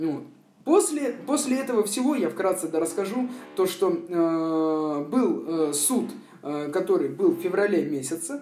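With noticeable background noise behind him, a man speaks at a fairly slow pace in a high pitch with very wide pitch swings. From Moscow, Russia. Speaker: former prisoner. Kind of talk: testimony. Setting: remote call. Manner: hesitant, filler-heavy.

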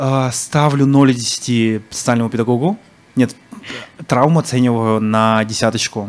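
A man's medium-pitched voice with fairly even intonation, fairly slow and broken by long, frequent pauses. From Yakutia (Sakha Republic), Yakutsk. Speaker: blogger-activist. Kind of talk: casual chat. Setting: bar with live audience.

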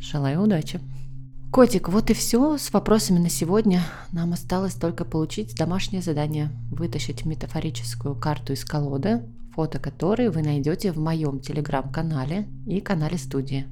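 A woman with a very deep, low pitch, a dark, mellow and gentle, warm tone, lively intonation and a moderate pace, in a room with audible echo. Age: 30s. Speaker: psychologist, podcast host. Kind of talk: advice monologue.

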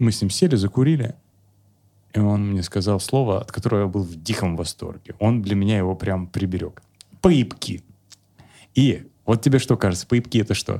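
This man speaks at a moderate pace with a dark, mellow tone and ordinary pitch variation. He leaves long, frequent pauses. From Kemerovo, Siberia, Russia. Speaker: psychologist and comedian. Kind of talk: casual chat with jokes and swearing. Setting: video podcast. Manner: animated, humorous, joking.

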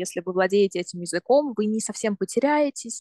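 This clip features a woman talking. Her pitch shows ordinary variation. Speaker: university student. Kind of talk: interview.

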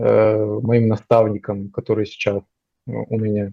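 A man speaks very slowly at a medium pitch, his tone dark and mellow, in a dry, close sound with no echo. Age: 20s. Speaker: junior software developer. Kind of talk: interview. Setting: call.

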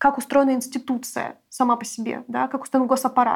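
This is a woman speaking. Her pitch is high. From Russia (Siberia and Moscow). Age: 20s. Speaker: feminist anti-war activist. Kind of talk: interview.

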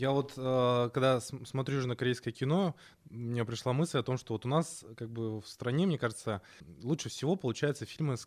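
A man talks at a fairly quick pace with a medium pitch and ordinary pitch variation, in an unremarkable speaking voice. The recording is very clean, with a silent background. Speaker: film podcast co-host. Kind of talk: casual chat.

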